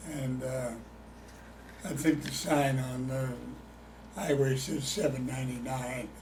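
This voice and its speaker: A man with a Midwestern American accent talks at a fairly slow pace with long, frequent pauses and fairly even intonation. Noticeable background noise and audible room echo are present. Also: medium pitch for a man. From Illinois. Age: 80s+. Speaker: retired chemist, oral history interviewee. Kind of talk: oral history interview. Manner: halting.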